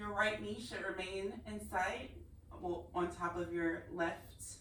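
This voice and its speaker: A woman talks very slowly in a calm tone at a medium pitch, her intonation fairly even. The room echoes audibly, and there is noticeable background noise. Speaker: yoga instructor. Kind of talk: guided yoga class instruction. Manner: quieter, lowered voice as practice slowed; instructional, calm pacing.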